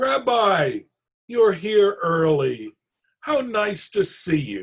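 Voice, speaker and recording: A man does a put-on character voice, high in pitch with very wide pitch swings. He talks at a very slow pace. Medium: read story. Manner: warm, chatty.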